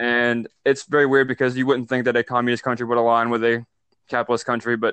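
Speaking with an Alabama accent, a man talks at a very fast pace. His medium-pitched voice has a monotone, flat intonation. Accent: Southern US (Alabama). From US South, North Alabama. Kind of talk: casual political discussion.

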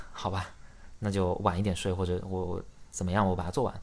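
Fairly quick speech from a man, on a very clean recording against a silent background. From China, Xiamen. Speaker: startup founder. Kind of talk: casual interview chat.

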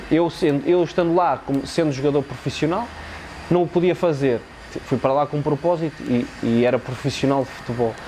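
A man with a plain, everyday voice talks at a fairly quick pace and a fairly high pitch. His loudness stays very even, and his pitch varies in an ordinary way. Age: 20s. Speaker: footballer. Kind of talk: casual chat. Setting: stadium.

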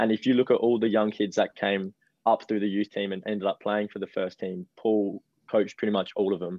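A man's fairly low, flat, monotone delivery at a fairly quick pace, with an Australian accent. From Adelaide, South Australia. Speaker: professional footballer. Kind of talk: interview.

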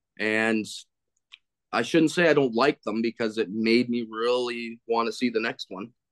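An unremarkable speaking voice from a man at medium pitch, fairly even intonation and a moderate pace, in a dry, close sound with no echo. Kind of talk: casual chat.

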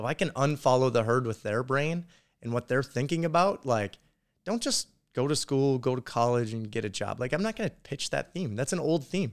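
Lively intonation marks this man's Upper Midwest accent as he talks at a fairly quick pace. The recording is very clean, with a silent background. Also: medium pitch for a man. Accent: Upper Midwest American. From North Dakota. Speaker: construction company owner. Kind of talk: casual chat. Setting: hotel room in Las Vegas, drinking beer.

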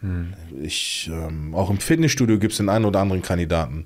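A normal speaking voice from a man, fairly low in pitch, at a fairly quick pace with ordinary pitch variation. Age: 30s. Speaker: guest telling life story, former athlete. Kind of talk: personal testimony in casual interview.

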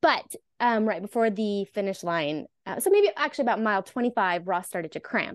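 A woman's plain, everyday voice at medium pitch, lively in intonation, dry and close with no echo, over a quiet background. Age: 30s. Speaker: physical therapist. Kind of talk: interview, personal story.

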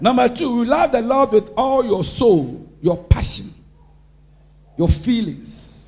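With noticeable background noise behind him, a high-pitched man speaks fairly slowly in an animated tone, with very wide pitch swings and long, frequent pauses. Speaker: pastor. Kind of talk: sermon. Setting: church.

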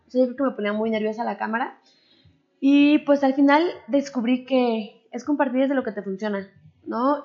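A woman speaks in a high pitch at a moderate pace. Her intonation stays fairly even. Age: 30s. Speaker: entrepreneur and mother. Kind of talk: interview.

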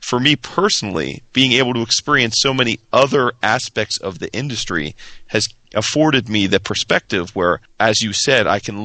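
A man talks at a medium speed in a normal speaking voice, his pitch varying in an ordinary way. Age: 30s. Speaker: comics podcaster. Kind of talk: casual chat.

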